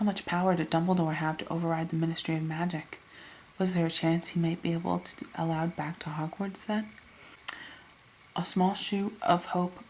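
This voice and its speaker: A soft-spoken woman is whispering. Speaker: ASMR creator / reader. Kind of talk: ASMR audiobook reading. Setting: home recording without a microphone, quiet. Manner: soft-spoken, whispery, relaxing.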